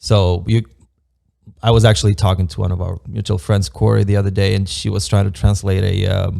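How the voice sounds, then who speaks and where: Speaking at a fairly quick pace, a man has a very deep, low pitch with ordinary variation, a dark, mellow tone and vocal fry. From Moldova. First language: Romanian. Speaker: construction project manager. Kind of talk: casual podcast interview. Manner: hesitant, many fillers.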